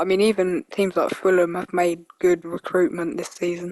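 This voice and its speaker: A woman's medium-pitched voice with a British accent, flat monotone intonation, and a dry, close, echo-free sound. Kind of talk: casual football prediction talk. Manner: casual, conversational.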